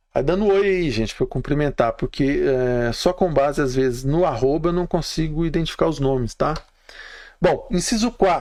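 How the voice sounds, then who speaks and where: With ordinary pitch variation, a man talks at a fairly quick pace and a fairly high pitch. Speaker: labor law instructor. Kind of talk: live stream lecture. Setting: live stream. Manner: fast.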